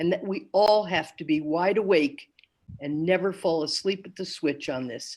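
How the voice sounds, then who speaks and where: Here a woman speaks with an American accent. Her intonation is lively. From US Northeast, Wilkes-Barre, Pennsylvania. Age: 80s+. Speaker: retired psychologist. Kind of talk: panel talk.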